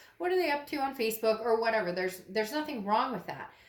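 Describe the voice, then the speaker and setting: A woman talks at a very fast pace in a fairly high voice. Room echo can be heard. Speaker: tarot reader. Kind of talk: tarot reading monologue. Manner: animated.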